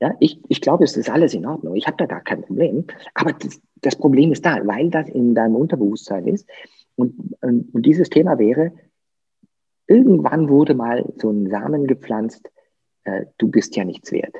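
Speaking at a moderate pace, a man with a fairly high pitch uses very wide pitch swings and vocal fry. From southern Germany, Lake Constance. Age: 50s. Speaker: coach. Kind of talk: interview.

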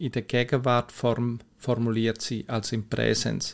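A plain, everyday voice at a fairly slow pace. The recording is very clean, with a silent background. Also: man. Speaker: mental coach, podcast host. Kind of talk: solo podcast explainer. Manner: conversational, informal.

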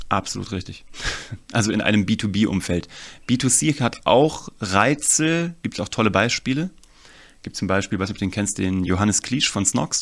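Fairly low in pitch, a man talks in a normal speaking voice with lively intonation. His pace is fairly slow, and the recording is very clean with a silent background. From Germany, Kassel (northern Hesse). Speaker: storytelling and marketing consultant. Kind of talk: interview.

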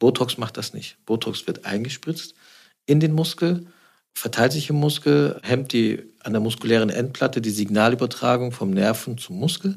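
A man talks at a moderate pace in a normal speaking voice. His medium pitch rises and falls with lively intonation. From Swabia, Stuttgart. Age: 40s. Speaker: plastic surgeon. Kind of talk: interview.

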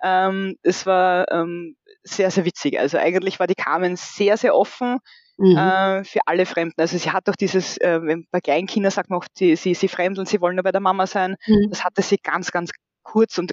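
A woman in an Austrian accent at moderate pace, with medium pitch and fairly even intonation. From rural Austria, about 1.5 hours from Vienna. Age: 40s. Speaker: bereaved mother. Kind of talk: personal testimony interview. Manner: hesitant, many fillers.

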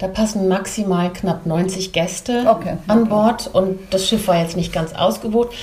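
Noticeable background noise sits behind a woman talking at a moderate pace. She barely pauses, and her intonation is fairly even. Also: medium pitch for a woman. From Belgium / Germany. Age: 50s. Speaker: image consultant and stylist. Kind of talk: casual interview chat.

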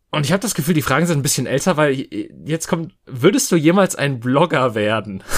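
A man speaks in a plain, everyday voice, pitched fairly high. His pace is fairly quick and his intonation lively. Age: 30s. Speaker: podcast host. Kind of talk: casual chat.

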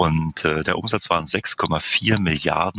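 Noticeable background noise runs under the recording. A man speaks at a very slow pace. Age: 50s. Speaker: managing director of a camping booking platform. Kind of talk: podcast interview.

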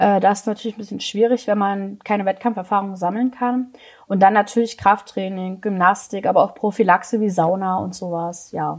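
Delivered at a fairly quick pace with fairly even intonation, this is a plain, everyday voice on a very clean recording with a silent background. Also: woman, medium pitch for a woman. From Saxony, eastern Germany. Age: 20s. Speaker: trap shooting athlete. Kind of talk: interview.

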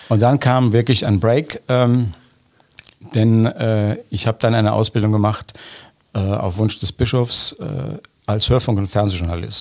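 Talking at a fairly slow pace with long, frequent pauses, a man keeps a medium pitch and ordinary pitch variation. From Germany, Bonn area. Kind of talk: interview. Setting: studio.

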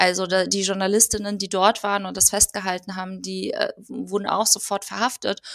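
A woman with vocal fry talks at a fairly quick pace and medium pitch, flat and monotone with hardly any pauses, in a dry, close sound with no echo. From Germany. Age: 30s. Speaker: political educator. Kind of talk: casual interview.

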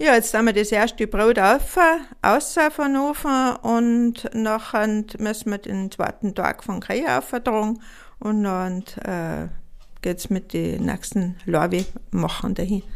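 A woman speaks very slowly in a fairly high voice with ordinary pitch variation. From Austria, Tyrol (Pillerseetal). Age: 60s. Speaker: farm woman and bread baker. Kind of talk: casual interview chat. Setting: at her farmhouse kitchen and bake oven.

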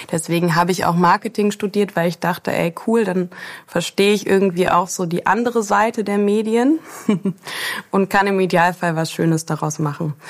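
Here is a woman with an unremarkable speaking voice. Her pitch is medium, with ordinary pitch variation. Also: moderate pace. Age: 30s. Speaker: agency founder. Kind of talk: interview.

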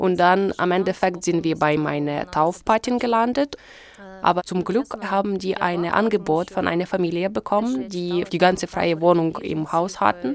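In a Ukrainian accent, a woman speaks at a moderate pace. Her pitch is fairly low. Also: ordinary pitch variation. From Ukraine. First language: Ukrainian (speaking German). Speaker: interpreter. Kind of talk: interpreting.

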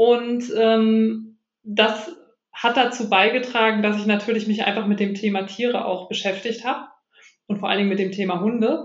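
At a moderate pace, a woman with a fairly high, somewhat breathy voice speaks with fairly even intonation, and audible room echo surrounds her. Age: 30s. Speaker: animal communicator. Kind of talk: interview.

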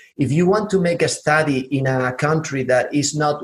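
A man in a southern Spanish accent, fairly high in pitch, somewhat breathy, with ordinary pitch variation. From southern Spain. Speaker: podcast host. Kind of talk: interview. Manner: halting.

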